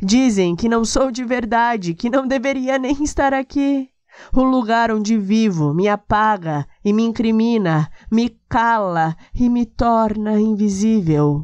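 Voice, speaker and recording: The intonation is lively and full of movement. The pace is very slow. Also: woman. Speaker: poetry reciter. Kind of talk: poetry reading.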